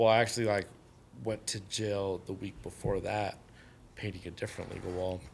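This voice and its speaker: A man's fairly low, monotone voice with flat intonation, a fairly quick pace, and long, frequent pauses. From Southern California. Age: 40s. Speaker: graffiti artist and tattooer. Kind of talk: casual chat.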